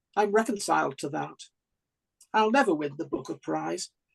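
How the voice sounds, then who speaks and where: Someone with a Staffordshire accent speaks at a moderate pace. The sound is dry and close, with no echo. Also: woman. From Staffordshire, England. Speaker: open mic poet. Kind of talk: poetry reading.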